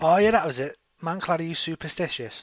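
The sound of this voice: Speaking at a fairly quick pace, a man uses a fairly high pitch and lively intonation.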